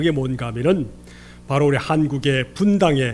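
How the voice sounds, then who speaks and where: Audible room echo surrounds a somewhat breathy man with a Gyeongsang accent. He speaks at a moderate pace. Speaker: pastor. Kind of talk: sermon.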